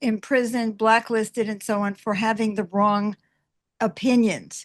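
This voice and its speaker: A woman with a fairly high pitch speaks at a moderate pace in a monotone, flat intonation, with a dry, close sound free of echo against a quiet background. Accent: American. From United States. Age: 80s+. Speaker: activist and author. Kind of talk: interview conversation.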